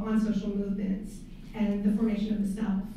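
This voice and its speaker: A woman speaks in a room with strong echo. Light background noise can be heard. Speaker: course instructor, event host. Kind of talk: introduction of a guest speaker. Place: hall.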